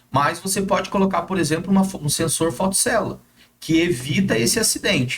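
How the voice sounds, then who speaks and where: Ordinary pitch variation at a moderate pace. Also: man. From Brazil, São José dos Campos (São Paulo state). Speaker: gate automation installer and social media influencer. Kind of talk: interview. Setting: studio. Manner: casual, hesitant with filler words.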